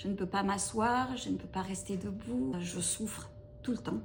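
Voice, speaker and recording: Her words come at a fairly slow pace. There is noticeable background noise as this woman talks. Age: 50s. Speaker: chronic pain patient. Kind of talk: interview testimony. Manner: halting, many hesitations.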